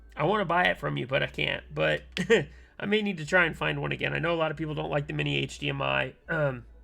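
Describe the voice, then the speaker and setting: A man talks at a very fast pace while music sits in the background. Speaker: keyboard builder streamer. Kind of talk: live stream chat. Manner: hesitant, many fillers.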